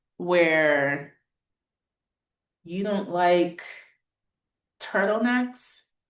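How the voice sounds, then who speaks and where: In a room with audible echo, a woman with a fairly low pitch talks with lively intonation. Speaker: fashion model selling clothes online. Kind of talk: live sales stream. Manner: casual, chatty.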